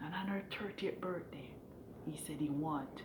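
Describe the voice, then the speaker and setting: A woman speaks in a room with audible echo. Noticeable background noise runs underneath. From Jamaica. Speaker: vlogger, hotel room attendant. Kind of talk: casual opinion monologue. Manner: halting, repetitive.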